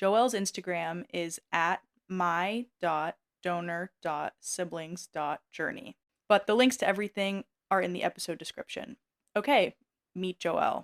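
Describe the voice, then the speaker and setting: A woman's fairly slow, medium-pitched, a plain, everyday voice with an American accent, ordinary pitch variation and a dry, close sound with no echo. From USA. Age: 20s. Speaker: podcast host. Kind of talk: podcast interview.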